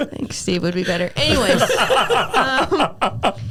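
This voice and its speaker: Noticeable background noise sits behind the voice. A woman with an American accent speaks at a fairly slow pace. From Southern Oregon. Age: 20s. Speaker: country singer. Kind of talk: interview answer. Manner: casual, funny.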